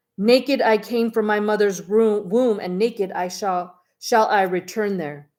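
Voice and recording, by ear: Against a quiet background, a passage is read aloud in a natural voice.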